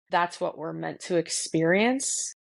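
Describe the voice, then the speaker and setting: In a slight North Jersey accent, a woman speaks fairly slowly at a fairly low pitch against a quiet background. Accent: slight North Jersey twang. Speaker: podcast host. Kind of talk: casual conversation.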